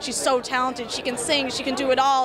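Crowd noise fills the background as a woman speaks at a high pitch, the sound dry with no echo. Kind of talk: interview answer. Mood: enthusiastic, warm. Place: hall. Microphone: handheld.

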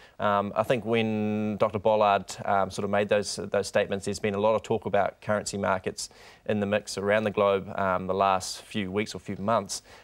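A man with a New Zealand accent speaks at a fairly low pitch with monotone, flat intonation. He leaves hardly any pauses, and the background is quiet. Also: moderate pace. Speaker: bank rural economist. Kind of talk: TV interview. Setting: studio. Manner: halting, many repetitions and fillers. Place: studio. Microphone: lapel.

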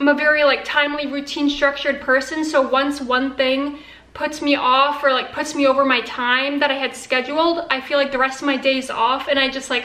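A woman's raised, projected voice, fairly quick with hardly any pauses, monotone and flat, with audible room echo. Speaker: vlogger. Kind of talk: casual vlog chat. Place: kitchen. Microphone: phone near.

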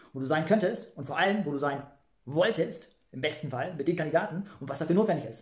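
A man speaks at a fast pace with a slightly mellow tone.

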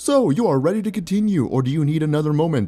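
A man speaks in a put-on character voice, pitched fairly high. His delivery is very fast, with lively intonation. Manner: polished, announcer-like.

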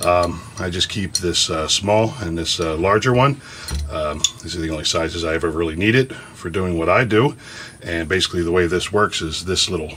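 A man talks at a fairly quick pace with a very deep, low pitch. His pitch varies in an ordinary way, over light background noise. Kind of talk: tutorial. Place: workshop.

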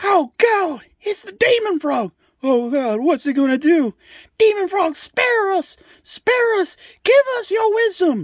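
In a put-on character voice, a man shouts at an extremely high pitch. His pace is fairly slow. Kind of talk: comic overacting, found-footage horror spoof. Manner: frantic, shouting, panicked.

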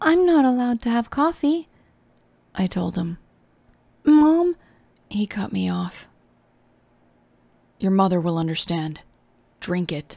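A soft-spoken, somewhat breathy woman's voice of medium pitch, dark and mellow in tone, at a fairly slow pace with long, frequent pauses and very wide pitch swings. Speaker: VTuber reading horror stories. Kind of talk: horror story reading. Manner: soft, comforting.

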